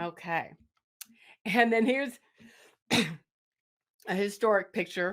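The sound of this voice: In a put-on character voice, raspy and hoarse, the speaker goes at a fairly slow pace with long, frequent pauses. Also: woman, medium pitch for a woman.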